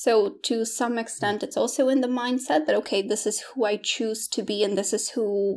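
The woman's voice is fairly high, with ordinary pitch variation, and she keeps to a moderate pace. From Poland. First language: Polish. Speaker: English teacher and coach. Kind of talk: casual interview conversation. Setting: video call interview.

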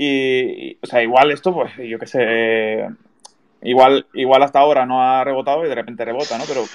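Here a man speaks in an unremarkable speaking voice at medium pitch. His pace is moderate and his intonation fairly even. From Canary Islands (Tenerife). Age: 20s. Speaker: podcast host. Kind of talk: casual interview.

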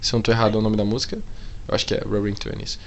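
The man's delivery is animated. His words carry audible echo from the room. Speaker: podcast co-host. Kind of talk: casual chat.

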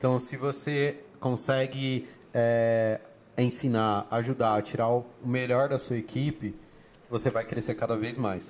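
A man speaks at a very slow pace in a medium pitch, his intonation fairly even. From Brazil, family from Bahia. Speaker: public speaking teacher and HR worker. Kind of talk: casual interview.

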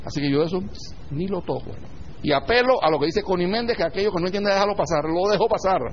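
A man with a high pitch talks at a very fast pace. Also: ordinary pitch variation. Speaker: spiritual teacher. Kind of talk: lecture. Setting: online audio class.

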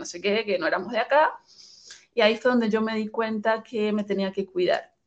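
A woman's fairly high voice at a fairly quick pace. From Venezuela, Caracas. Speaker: migrant sharing her story. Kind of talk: interview.

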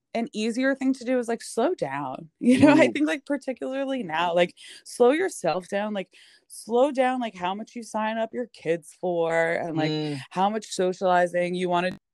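A woman with a New York accent speaks at a fairly high pitch, with very wide pitch swings. The sound is dry and close, without echo. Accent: Staten Island, New York. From Staten Island, New York. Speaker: podcast guest, chronic illness writer. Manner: fast talker; casual, heavy use of "like".

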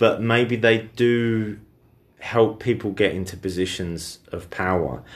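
This man's voice is fairly low in pitch, with ordinary pitch variation. He speaks very slowly. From Britain. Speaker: podcast co-host. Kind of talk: casual chat.

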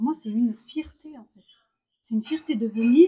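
A woman speaks with a dark, mellow tone and lively intonation. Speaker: podcast host, primary school teacher. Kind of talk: casual chat. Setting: restaurant during a brunch. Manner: hesitant, many repetitions.

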